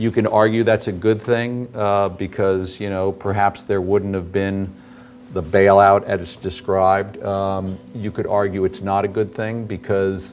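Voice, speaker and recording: This man talks at a fairly slow pace with fairly even intonation and a fairly low pitch. Noticeable noise sits in the background. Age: 50s. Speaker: investment manager. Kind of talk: lecture Q&A. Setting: auditorium with audience.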